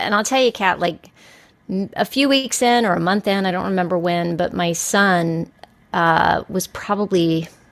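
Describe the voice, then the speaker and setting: Medium in pitch, a woman speaks fairly slowly with ordinary pitch variation. Hers is an unremarkable speaking voice. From Texas, El Paso. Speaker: podcast guest. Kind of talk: casual chat.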